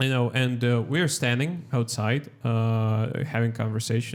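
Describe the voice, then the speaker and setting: A man with a Russian accent. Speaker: stand-up comedian. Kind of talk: casual chat. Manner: halting.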